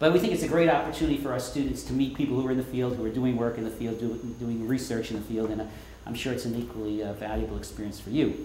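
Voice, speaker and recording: With an American accent, a man talks very fast at a medium pitch with fairly even intonation, amid audible room echo and noticeable background noise. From New York. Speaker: professor. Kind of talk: lecture.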